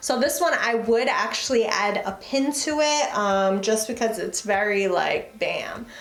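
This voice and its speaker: Over noticeable background noise and audible room echo, a woman speaks at a moderate pace and fairly high pitch. Her tone is animated, with ordinary pitch variation. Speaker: fashion YouTuber. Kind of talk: try-on haul vlog.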